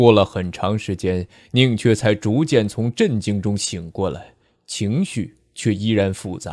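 Speaking at a very slow pace, a man keeps a fairly low pitch with ordinary pitch variation. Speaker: audiobook narrator. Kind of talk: audiobook novel narration.

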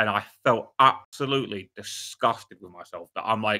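A bright, sharp tone carries this voice at a fairly quick pace, with ordinary pitch variation. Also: man.

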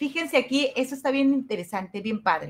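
In a high voice, a woman speaks with an animated tone. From Mexico, Los Mochis, Sinaloa; Sinaloa, Mexico. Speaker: university teacher. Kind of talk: online class lecture. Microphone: webcam.

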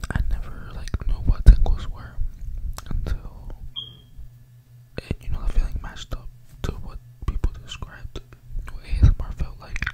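A soft-spoken man with long, frequent pauses against loud background noise. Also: moderate pace. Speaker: ASMR creator. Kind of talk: casual storytelling vlog chat. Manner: soft close-mic ASMR voice. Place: home room. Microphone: studio mic.

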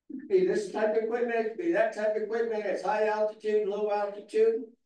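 High-pitched male speech at a moderate pace, ordinary pitch variation, audible room echo. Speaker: public commenter. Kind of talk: public comment speech. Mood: critical, exasperated. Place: hall.

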